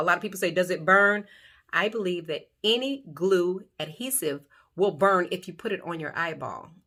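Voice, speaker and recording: In a very clean recording with a silent background, a woman with a bright, sharp tone and medium pitch talks at a moderate pace with ordinary pitch variation. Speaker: beauty YouTuber. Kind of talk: tutorial.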